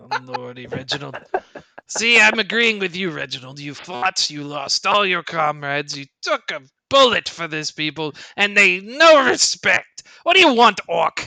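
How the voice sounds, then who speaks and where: A put-on character voice at a middle pitch delivers the lines at a moderate pace. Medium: actual play. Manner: curt, grumbling, easily flustered.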